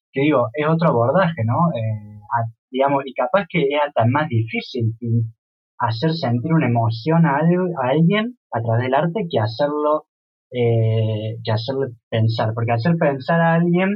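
At a fairly slow pace, a man with a fairly high pitch and lively intonation talks in a plain, everyday voice. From Córdoba, Argentina. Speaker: visual artist. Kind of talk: casual interview.

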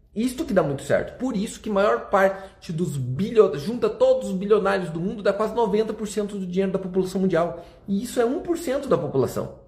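Over noticeable background noise, a man with a high pitch sounds animated, using lively intonation at a moderate pace. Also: hardly any pauses. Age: 30s. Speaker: finance influencer. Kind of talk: motivational talk. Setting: hotel room.

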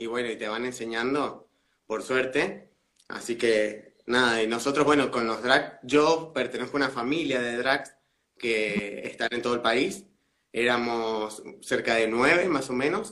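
A man speaks at a fairly slow pace in a medium pitch, his bright, sharp tone carrying ordinary pitch variation. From Mendoza, Argentina. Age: 20s. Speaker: drag queen. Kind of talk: casual interview. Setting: video call livestream.

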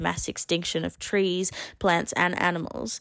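This woman has an Australian accent and a medium pitch, speaking at a moderate pace. The recording is very clean, with a silent background. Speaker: podcast co-host. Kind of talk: casual discussion.

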